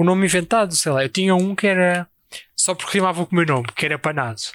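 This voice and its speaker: Here a man speaks at a high pitch. The sound is dry and close, without echo. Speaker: podcast co-host. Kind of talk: casual chat.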